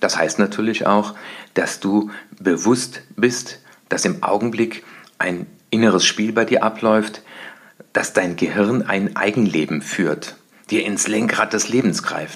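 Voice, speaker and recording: A man with a fairly low pitch talks at a very slow pace, his pitch varying in an ordinary way. He leaves long, frequent pauses. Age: 50s. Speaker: success coach. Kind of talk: solo podcast monologue.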